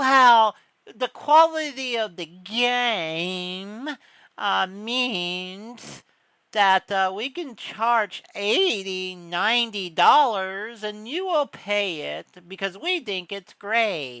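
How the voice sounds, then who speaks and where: On a very clean recording with a silent background, a female-sounding voice in a put-on character voice speaks very slowly at medium pitch. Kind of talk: posh, rich-sounding. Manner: pompous.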